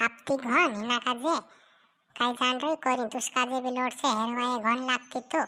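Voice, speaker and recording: A woman puts on a cartoonish character voice pitched high. Her pace is moderate and her intonation fairly even. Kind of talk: comic village dialect. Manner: scolding, sharp-tongued.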